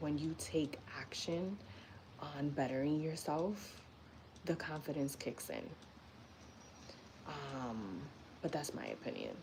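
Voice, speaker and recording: Speech moves at a very slow pace, broken by long, frequent pauses, with ordinary pitch variation. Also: woman, very deep, low pitch for a woman. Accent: New York. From New York City (Bronx). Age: 30s. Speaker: lifestyle and personal growth live streamer. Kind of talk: casual live-stream talk. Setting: YouTube live stream. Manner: conversational, frequent fillers.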